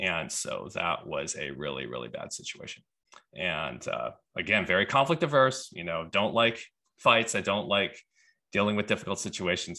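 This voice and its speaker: Against a quiet background, a man talks at a moderate pace with an American accent. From US, Houston Texas, Taiwanese parents. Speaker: conflict resolution coach. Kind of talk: casual interview.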